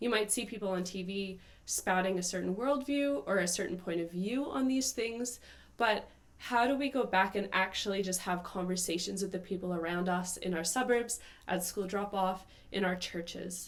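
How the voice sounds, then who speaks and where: Here is a woman with a normal speaking voice and a Canadian accent. Her pitch is medium, with ordinary pitch variation, at a moderate pace. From Canada. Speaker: podcast host. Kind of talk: political commentary monologue. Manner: casual, filler-heavy.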